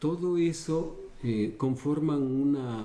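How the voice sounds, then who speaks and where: This is a man speaking at a medium pitch. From Ecuador (Quito). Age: 60s. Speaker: dancer. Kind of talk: interview. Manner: halting.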